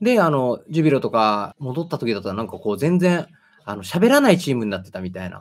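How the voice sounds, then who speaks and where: A man speaks at a very fast pace. His pitch swings very widely. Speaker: football commentator, channel host. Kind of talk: casual interview chat about football. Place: home room.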